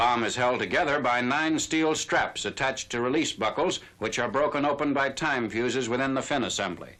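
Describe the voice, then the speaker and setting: Talking at a fairly quick pace with hardly any pauses, a man uses a bright, sharp tone at medium pitch with ordinary pitch variation. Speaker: newsreel narrator. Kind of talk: newsreel narration.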